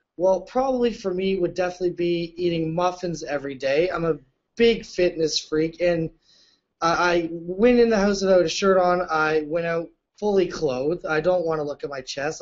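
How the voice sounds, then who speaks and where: Loud and fairly quick, a man speaks at a high pitch with ordinary pitch variation. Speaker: reality show contestant. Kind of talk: casual chat. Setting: video call. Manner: animated.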